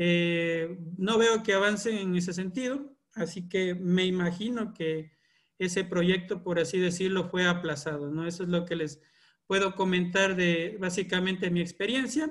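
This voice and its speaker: Taking a fairly slow pace, a man speaks at a high pitch. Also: ordinary pitch variation. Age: 30s. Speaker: environmental engineer and course trainer. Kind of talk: online lecture. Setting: video call. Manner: hesitant with filler sounds.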